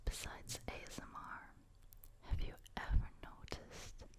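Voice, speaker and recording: Someone is whispering. The pace is very slow. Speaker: ASMR creator. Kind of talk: whispered ASMR storytelling. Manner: whispered; soft-spoken.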